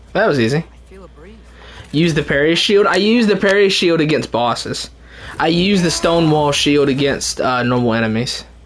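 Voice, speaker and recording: A man's animated, fairly high voice at a moderate pace, with lively intonation, very even loudness and noticeable background noise. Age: 20s. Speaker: video game streamer. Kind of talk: live gameplay commentary. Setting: livestream. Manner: casual, gets animated.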